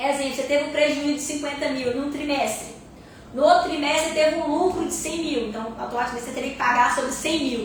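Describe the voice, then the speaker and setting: A woman speaks with an animated tone, high pitch and a fairly quick pace. Noticeable background noise is present. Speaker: accountant teaching online course. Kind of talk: live online class. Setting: live stream. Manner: fast.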